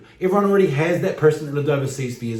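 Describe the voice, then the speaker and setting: A man's fairly high-pitched voice comes through with noticeable background noise and an audible echo from the room. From New Zealand. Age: 40s. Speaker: vlogger. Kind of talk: vlog monologue.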